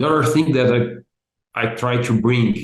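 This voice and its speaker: A man with a Brazilian accent speaks at a medium pitch with ordinary pitch variation. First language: Portuguese. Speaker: business analysis expert and content creator. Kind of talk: interview. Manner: halting, many repeated words.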